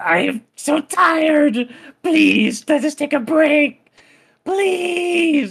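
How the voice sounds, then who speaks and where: A whiny, high-pitched voice at a very slow pace. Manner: whiny, pleading, broken speech.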